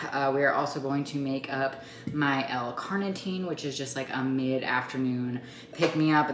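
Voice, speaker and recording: Amid noticeable background noise and audible room echo, a woman with a very deep, low pitch speaks at a moderate pace. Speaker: mom vlogger and fitness coach. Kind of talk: sales pitch; casual vlog chat. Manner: chatty, filler-heavy; quiet.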